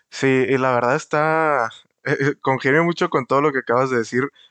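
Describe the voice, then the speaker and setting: In a Mexican accent, a man speaks at a medium pitch and a moderate pace with fairly even intonation. The sound is dry and close with no echo, against a quiet background. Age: 20s. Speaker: podcast host. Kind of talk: casual chat.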